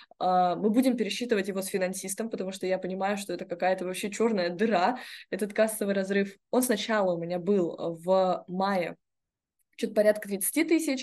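A woman with an unremarkable speaking voice talks at a fairly quick pace against a quiet background. Her pitch is medium, with ordinary variation. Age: 20s. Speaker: entrepreneur. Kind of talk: casual chat.

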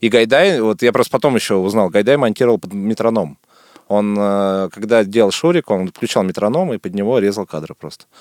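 At a fairly quick pace, a man speaks in a fairly low pitch, an unremarkable speaking voice. The sound is dry and close, with no echo. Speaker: film director. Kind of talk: casual interview chat. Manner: casual, colloquial.

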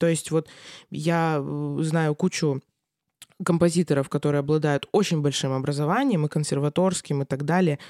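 The voice has a dark, mellow tone and a moderate pace, in a very clean recording with a silent background and a dry, close sound with no echo. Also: woman. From Russia, Krasnoyarsk. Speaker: cellist and music lecturer. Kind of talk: casual interview. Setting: studio.

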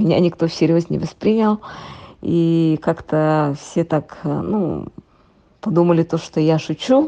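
Delivery is very slow, with long, frequent pauses and ordinary pitch variation. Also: woman, fairly low pitch for a woman. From Yakutia, Russia (rural village). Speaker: expat interviewee, former tax inspector. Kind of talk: remote interview. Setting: remote call from home.

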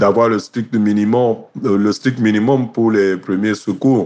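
Very slow speech from a man with a fairly low pitch, over noticeable background noise. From Cameroon. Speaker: sports journalist. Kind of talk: interview.

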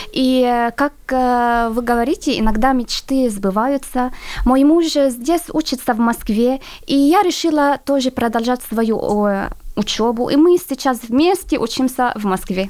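A woman speaks at a fairly slow pace in a high voice with an Arabic accent, her loudness staying very even. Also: ordinary pitch variation. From Syria. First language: Arabic (speaking Russian). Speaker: international student. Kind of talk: radio interview. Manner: halting.

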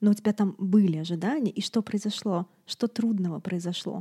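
A woman with a dark, mellow tone speaks at a moderate pace and medium pitch, somewhat breathy and with fairly even intonation, in a dry, close sound with no echo. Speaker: doula and podcast host. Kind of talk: casual chat. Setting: video call.

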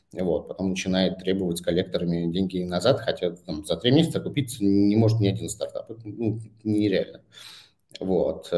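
At a fairly quick pace, a man speaks at a fairly low pitch in a dark, mellow tone, with ordinary pitch variation. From Saint Petersburg, Russia. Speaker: startup founder. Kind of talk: interview. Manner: halting.

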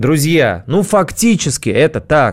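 Pitched high, the man's voice shows ordinary pitch variation. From Russia, St Petersburg and Moscow outskirts. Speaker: radio host. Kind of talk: casual radio monologue.

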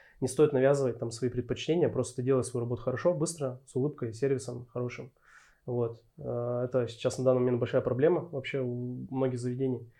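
A man talks at a fairly quick pace with medium pitch and fairly even intonation. His tone is dark and mellow. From Urals, Russia. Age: 30s. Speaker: head barista. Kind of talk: interview. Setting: studio.

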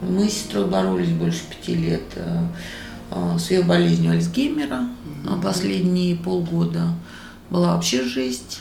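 Over noticeable background noise and audible room echo, a woman speaks at a fairly slow pace with very even loudness. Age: 50s. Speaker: restaurateur and cook, former showbiz manager. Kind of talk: interview. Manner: animated.

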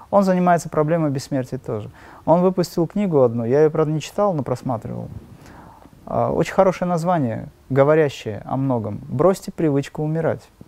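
The man's voice has a dark, mellow tone with ordinary pitch variation. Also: fairly high pitch for a man, moderate pace. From Dagestan, Makhachkala, Russia. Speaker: spiritual teacher and musician. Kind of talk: interview.

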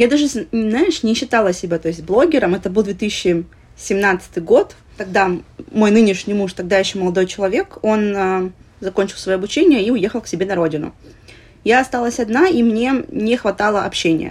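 Medium-pitched speech from a woman at a moderate pace, a plain, everyday voice with lively intonation. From Russia, Vladivostok (Russian Far East). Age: 30s. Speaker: plus-size lifestyle blogger. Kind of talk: casual interview.

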